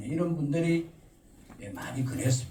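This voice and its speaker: Room echo can be heard. It surrounds a man's speaking voice. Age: 70s. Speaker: local council chairman. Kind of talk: press conference Q&A. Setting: press conference with reporters.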